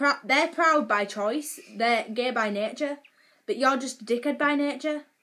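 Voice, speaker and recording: The voice is raised and projected, with a bright, sharp tone and a fairly slow pace. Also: woman, high pitch for a woman, ordinary pitch variation. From northern England. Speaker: vlogger. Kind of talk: casual rant. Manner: animated.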